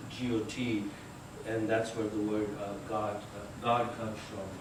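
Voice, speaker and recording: A man's fairly slow, monotone, flat delivery at medium pitch, with audible room echo and noticeable background noise. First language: not English. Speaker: lecturer. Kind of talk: lecture. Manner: halting, many fillers.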